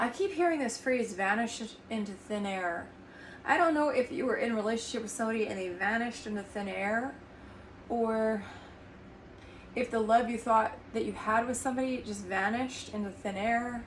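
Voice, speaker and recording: Soft-spoken and fairly high-pitched, a woman talks at a moderate pace with ordinary pitch variation, and audible room echo surrounds her voice. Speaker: tarot reader and energy healer. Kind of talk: tarot reading. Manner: halting.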